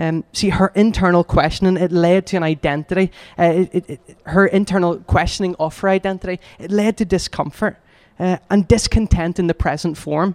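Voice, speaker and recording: A man with a Northern Irish accent speaks at a fairly quick pace and a high pitch. His intonation is fairly even, and the sound is dry and close with no echo. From Northern Ireland, Lisburn. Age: 20s. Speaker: youth community worker. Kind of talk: talk at a church gathering.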